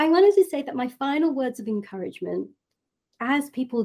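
A woman talks at a fairly quick pace in a dark, mellow tone, her pitch swinging very widely. The recording is very clean with a silent background. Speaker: reiki practitioner. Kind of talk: guided meditation; interview. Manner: soft-spoken.

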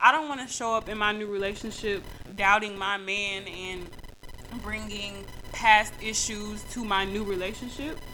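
A woman's medium-pitched voice at a moderate pace, with fairly even intonation, big swings in loudness and noticeable background noise. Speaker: podcast host. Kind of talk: angry rant; faith-based motivational talk. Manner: heated, punchy, repetitive hammering, insistent and loud.

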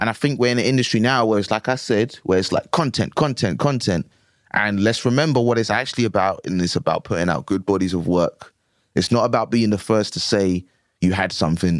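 A man with a London accent talks at a fairly quick pace in a fairly low pitch with ordinary pitch variation. The recording is very clean, with a silent background. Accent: London English, multicultural London. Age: 20s. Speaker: comedian. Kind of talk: casual chat.

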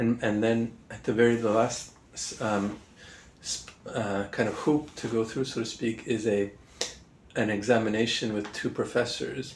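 A man speaks in a Canadian accent at a fairly slow pace, in a medium pitch with monotone, flat intonation. There are long, frequent pauses and noticeable background noise. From Montreal, Canada. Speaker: political theory professor. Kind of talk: interview. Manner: hesitant, many fillers.

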